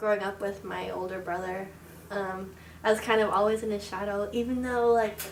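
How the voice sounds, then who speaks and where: Over noticeable background noise and audible room echo, a woman talks at a fairly quick pace in a monotone, flat intonation. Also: medium pitch for a woman. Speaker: student interviewee. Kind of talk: personal testimony. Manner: soft-spoken.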